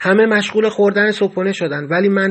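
Speaking at a fairly quick pace, a man delivers his words. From Iran. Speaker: memoir narrator. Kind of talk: first-person storytelling.

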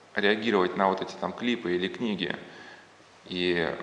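Audible room echo and noticeable background noise surround a man talking at a moderate pace. His intonation is fairly even. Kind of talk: lecture. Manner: halting, many filler words.

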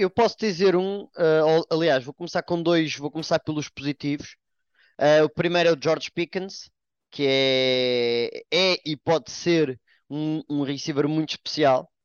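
A man with a European Portuguese accent talks at a fairly slow pace. His pitch is fairly high, with ordinary pitch variation. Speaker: NFL commentator. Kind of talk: casual sports panel discussion.

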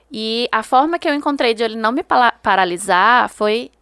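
In a normal speaking voice, a woman speaks at a fairly high pitch with lively intonation. The recording is very clean, with a silent background. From Brazil, Ceará (Juazeiro do Norte). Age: 30s. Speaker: historian and writer. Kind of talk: interview.

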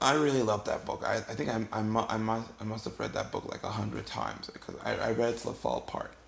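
Over noticeable background noise, a man talks very fast with hardly any pauses. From Ghana. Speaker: storyteller podcaster. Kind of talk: comedic storytelling monologue. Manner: halting, frequent repetitions.

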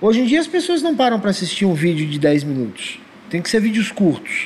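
Over noticeable background noise, a man speaks at a fairly quick pace in a high pitch. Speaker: podcast host. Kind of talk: casual chat.

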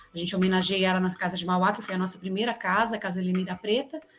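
A woman's voice with music in the background. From São Paulo city, east zone periphery. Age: 40s. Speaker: politician. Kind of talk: interview.

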